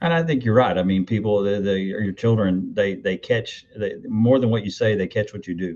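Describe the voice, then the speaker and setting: A man talks at a moderate pace with a fairly low pitch. His pitch varies in an ordinary way, and he leaves hardly any pauses. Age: 60s. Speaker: mental health agency executive. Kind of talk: interview. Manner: halting, many fillers.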